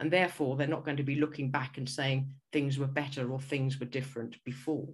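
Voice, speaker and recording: A woman with a southern British accent speaks in a very deep, low, somewhat breathy voice. Her delivery is monotone and flat, with audible room echo. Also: fairly quick pace. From England. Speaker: school leadership consultant, former headteacher. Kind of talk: conference presentation. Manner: hesitant with repetitions.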